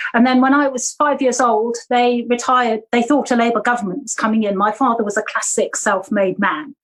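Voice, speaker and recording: Hardly pausing, a woman talks at a fairly quick pace with a high pitch. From Jersey, Channel Islands. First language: German. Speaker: local councillor and political candidate. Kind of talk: interview.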